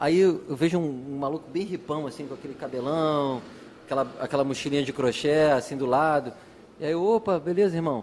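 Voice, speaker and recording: A man with a fairly high pitch talks at a fairly quick pace in a plain, everyday voice, with ordinary pitch variation. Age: 40s. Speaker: nightlife promoter. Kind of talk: casual chat.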